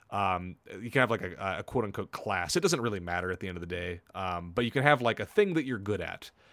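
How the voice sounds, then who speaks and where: Talking at a very fast pace with hardly any pauses, a man with a fairly low pitch sounds animated, using ordinary pitch variation in a very clean recording with a silent background. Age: 30s. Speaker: video game podcast host. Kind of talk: casual chat.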